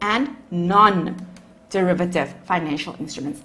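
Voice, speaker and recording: A woman with a South African accent at a fairly slow pace, with audible room echo. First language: Afrikaans. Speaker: accounting lecturer. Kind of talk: lecture.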